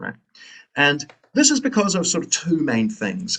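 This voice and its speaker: A man's voice with vocal fry, very wide pitch swings and a New Zealand accent. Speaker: philosophy lecturer. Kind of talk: lecture.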